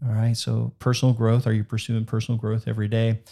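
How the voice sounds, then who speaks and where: Dark, mellow male voice at a medium pitch, dry and close with no echo, on a very clean recording with a silent background. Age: 40s. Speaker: podcast host and entrepreneur. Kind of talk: casual chat.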